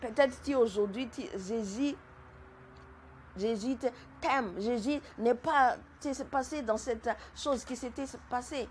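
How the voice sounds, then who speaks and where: A woman with a high pitch speaks very slowly, with long, frequent pauses. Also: ordinary pitch variation. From Madagascar. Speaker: testimony giver. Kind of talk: testimony. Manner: halting, repeats words.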